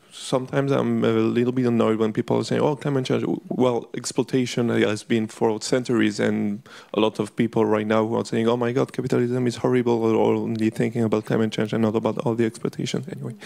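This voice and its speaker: A man speaks at a very fast pace with a French accent. He leaves hardly any pauses. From France. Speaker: audience member. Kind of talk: audience question. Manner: halting.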